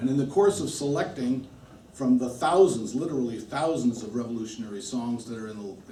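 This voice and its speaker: A man talks at a moderate pace. The room echo is audible and the background noise is noticeable. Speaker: musician. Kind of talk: talk to an audience. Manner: halting.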